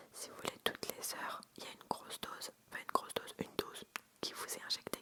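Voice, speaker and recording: A woman whispers while noticeable background noise fills the space behind her. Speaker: ASMR creator. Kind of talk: ASMR storytelling, personal birth anecdotes told close to the mic. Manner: soft-spoken, intimate, conversational.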